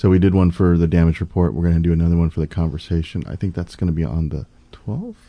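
This man has a very deep, low pitch and an American accent, talking at a very fast pace. His intonation stays fairly even against a quiet background. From US Midwest, St. Louis. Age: 40s. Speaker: political candidate. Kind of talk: podcast interview. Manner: earnest, speechlike cadence.

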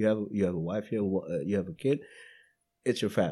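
In a very clean recording with a silent background, a man with a fairly low pitch and a dark, mellow tone speaks with lively intonation. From Indonesia. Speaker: podcast guest. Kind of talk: casual chat. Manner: halting, many repetitions and fillers.

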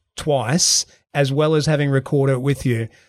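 A man with an unremarkable speaking voice and a fairly high pitch is heard in a very clean recording with a silent background. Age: 40s. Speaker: podcast host. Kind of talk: interview.

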